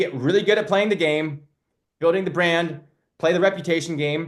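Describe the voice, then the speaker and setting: A loud, animated man with a high pitch against a quiet background. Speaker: marketing coach for loan officers and realtors. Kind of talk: live webinar. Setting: live webinar.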